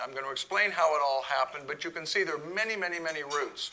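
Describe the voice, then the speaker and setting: Noticeable background noise is heard throughout. Over it, a man talks at a fairly high pitch. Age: 60s. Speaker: club president giving a talk. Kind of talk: talk to an audience. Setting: room with live audience.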